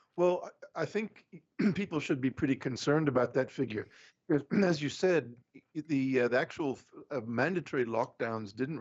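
In a South African accent, a man speaks with long, frequent pauses. His medium pitch shows ordinary variation. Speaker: economist. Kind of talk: interview.

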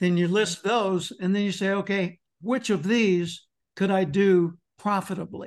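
A man in an American accent, high-pitched and fairly slow, with fairly even intonation, very even loudness and a quiet background. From US South, Arkansas. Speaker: motivational speaker. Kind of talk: interview.

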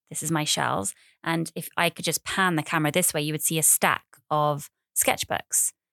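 With an English accent, a woman speaks at a very deep, low pitch in a bright, sharp tone, the sound dry and close with no echo and the recording very clean against a silent background. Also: ordinary pitch variation, moderate pace. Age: 30s. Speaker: podcaster. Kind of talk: casual monologue. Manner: animated.

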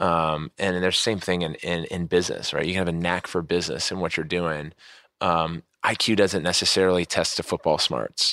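On a very clean recording with a silent background and a dry, close sound with no echo, a man with an American accent talks at a fairly quick pace, his very deep, low pitch carrying a bright, sharp tone and fairly even intonation. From US mid-Atlantic (DC area). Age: 30s. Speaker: podcast host, former athlete. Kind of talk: interview. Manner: halting, many fillers.

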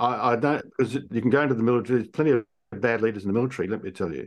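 Ordinary pitch variation marks this voice with an Australian accent, heard over a quiet background. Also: man. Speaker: executive coach. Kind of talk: interview.

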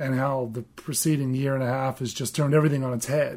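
Speaking very fast with an Australian accent, a man holds a fairly high pitch and fairly even intonation. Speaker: podcast co-host. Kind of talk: casual podcast chat.

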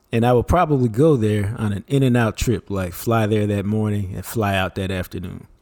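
A man speaks in a normal speaking voice, fairly low in pitch, with ordinary pitch variation. His pace is fairly quick, with hardly any pauses. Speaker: co-host, sports commentator. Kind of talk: casual chat.

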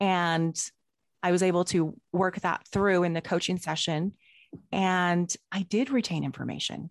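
A woman's normal speaking voice, fairly low in pitch and fairly slow, with fairly even intonation, in a dry, close sound with no echo and a quiet background. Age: 40s. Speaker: life coach. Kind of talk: casual interview chat.

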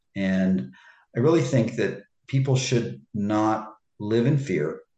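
A man's voice is somewhat breathy and very slow. His intonation is lively. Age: 60s. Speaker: personal trainer and author. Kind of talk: interview. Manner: halting, many fillers and repeats.

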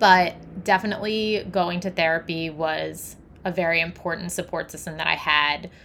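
This woman has a fairly low voice with vocal fry, a bright, sharp tone and ordinary pitch variation. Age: 30s. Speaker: holistic health coach and podcast host. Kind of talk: solo podcast monologue.

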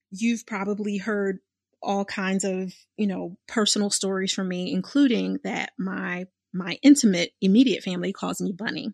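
A woman with an American accent speaks at a moderate pace. The sound is dry and close, with no echo. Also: medium pitch for a woman, ordinary pitch variation, quiet background. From Philadelphia, US. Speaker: podcast host, business coach and clinical social worker. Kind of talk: casual monologue. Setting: studio. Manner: animated.

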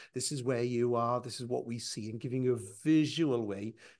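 At a fairly quick pace, a man talks with medium pitch and ordinary pitch variation. He has a normal speaking voice against a quiet background. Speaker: vendor speaker. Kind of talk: presentation-style talk.

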